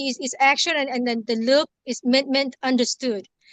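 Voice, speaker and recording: A woman with a strong Lao accent speaks at a moderate pace. Her voice is high-pitched with fairly even intonation. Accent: heavy Lao. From Laos, moved to US at eleven. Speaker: community circle participant. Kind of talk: casual group chat. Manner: halting, many fillers.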